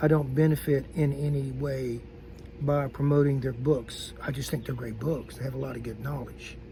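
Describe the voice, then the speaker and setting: The speech has monotone, flat intonation, with audible room echo and noticeable background noise. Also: man. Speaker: YouTuber teaching patrol and recon skills. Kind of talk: casual talk to camera. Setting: outdoors. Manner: halting.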